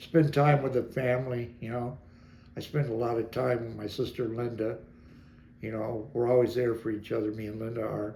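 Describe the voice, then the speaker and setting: Medium pitch, a dark, mellow tone and a somewhat breathy quality from a man with an American accent, at a moderate pace with monotone, flat intonation and audible room echo. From Detroit, Michigan. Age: 70s. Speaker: interviewee recounting his life. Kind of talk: personal interview. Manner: halting.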